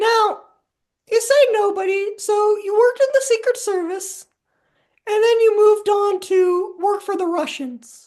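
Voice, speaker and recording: A squeaky, put-on character voice at an extremely high pitch moves along at a moderate pace. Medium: comedy sketch. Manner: deadpan, unflappable.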